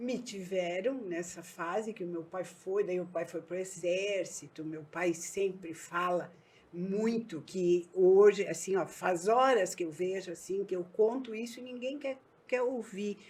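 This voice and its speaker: Here a woman speaks in a southern Brazilian accent at a fairly slow pace. Her medium pitch shows ordinary variation. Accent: gaúcho Brazilian Portuguese. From southern Brazil, Erechim (Rio Grande do Sul). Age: 60s. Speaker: businesswoman. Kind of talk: podcast interview.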